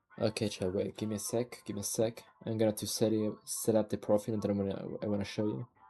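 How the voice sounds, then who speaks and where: A man with a non-native accent and fairly low pitch talks very fast in a monotone, flat way with hardly any pauses. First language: not English. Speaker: streamer. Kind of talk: casual livestream chat.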